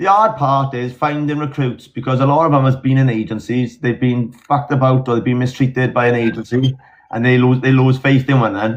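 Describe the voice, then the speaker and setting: A man speaks with a Welsh accent. His intonation stays fairly even. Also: medium pitch for a man, fairly quick pace. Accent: Welsh, mistaken for Australian. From South Wales valleys. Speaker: agency team manager, live streamer. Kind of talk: casual chat.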